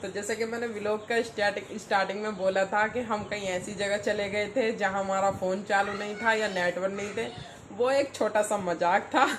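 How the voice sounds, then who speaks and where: With hardly any pauses, a woman talks at a medium pitch with monotone, flat intonation over noticeable background noise. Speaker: family vlogger, mother. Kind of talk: casual vlog chat. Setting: at home.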